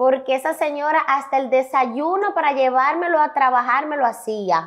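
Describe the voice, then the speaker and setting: A woman's high voice with lively intonation at a fairly slow pace, over a quiet background. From Dominican Republic, Santiago; Dominican Republic. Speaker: comedian and influencer; talk show guest. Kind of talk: interview. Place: studio. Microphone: lapel.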